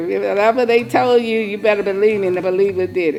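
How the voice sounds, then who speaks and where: With music in the background, a woman speaks at a medium pitch. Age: 80s+. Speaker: elderly community volunteer driver. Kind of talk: interview testimony.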